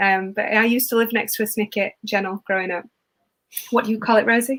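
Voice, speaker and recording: Speaking in a South Yorkshire accent, a woman has a fairly high pitch. She talks at a very fast pace with fairly even intonation. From northern England, Rotherham, South Yorkshire. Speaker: event host, university outreach organizer. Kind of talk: live online event hosting. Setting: online livestream from home. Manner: chatty, filler-heavy.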